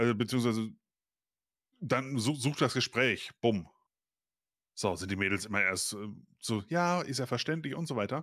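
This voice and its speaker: Long, frequent pauses at a moderate pace against a quiet background. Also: man, lively intonation, dry sound with no echo. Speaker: co-host of reaction stream. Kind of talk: casual reaction commentary. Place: home room.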